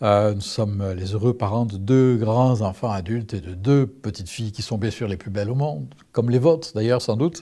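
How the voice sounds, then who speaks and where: At a moderate pace, a man speaks with a dark, mellow tone and a fairly low pitch. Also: ordinary pitch variation. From southern France. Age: 60s. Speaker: testimony speaker. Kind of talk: testimony. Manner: hesitant, many fillers.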